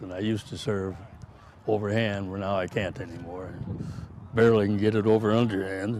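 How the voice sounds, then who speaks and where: A man with an American accent, fairly low-pitched and monotone, at a fairly quick pace with big swings in loudness and long, frequent pauses. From Rochester, Minnesota. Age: 80s+. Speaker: farmer. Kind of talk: interview answer.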